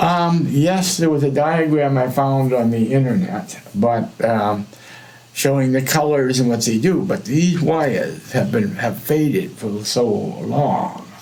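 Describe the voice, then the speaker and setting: A man with a fairly high pitch and lively intonation speaks at a fairly slow pace, with audible room echo and noticeable background noise. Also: very even loudness. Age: 60s. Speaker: electronics hobbyist. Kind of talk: tutorial. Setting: live stream. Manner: halting.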